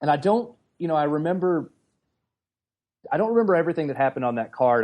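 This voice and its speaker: The speaker is male. A dark, mellow tone colors his voice. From US South, middle Tennessee. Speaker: comic anthology editor. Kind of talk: podcast interview.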